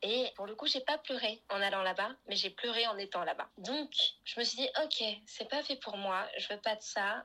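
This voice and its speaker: Bright and sharp in tone, a woman's fairly high voice moves at a fairly slow pace with ordinary pitch variation. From France, Paris. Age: 20s. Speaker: podcast guest. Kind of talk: casual interview. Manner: animated.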